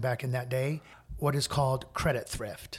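With an American accent, a man speaks at a moderate pace in a fairly high pitch with ordinary pitch variation. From US Midwest, small-town Indiana. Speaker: interior designer. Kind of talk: casual interview. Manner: direct, straightforward.

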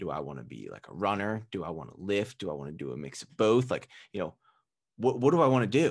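A man with an American accent talks at a fairly quick pace, with vocal fry and very wide pitch swings. The background is quiet. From US, Philadelphia suburbs. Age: 20s. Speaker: nutrition coach and podcaster. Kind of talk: casual interview chat.

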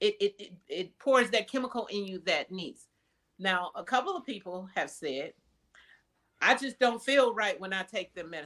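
An ordinary speaking voice from a woman with an American accent, medium in pitch and at a moderate pace. Her intonation is lively, and her loudness swings widely. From US Midwest, Wisconsin. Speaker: mental health counselor. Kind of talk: interview.

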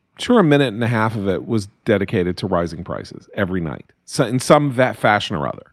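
A man with an American accent talks at a very fast pace, his lively intonation edged with vocal fry. The recording is very clean, with a silent background. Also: fairly low pitch for a man, hardly any pauses. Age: 60s. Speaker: writer and political commentator. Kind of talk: interview.

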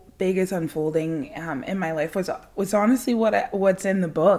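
The voice belongs to a woman with a medium pitch. Her pitch variation is ordinary. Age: 30s. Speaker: poet and author. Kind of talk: casual chat.

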